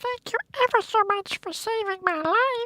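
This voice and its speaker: Squeaky and extremely high in pitch, this is a put-on character voice. It stays squeaky throughout. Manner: grateful, small.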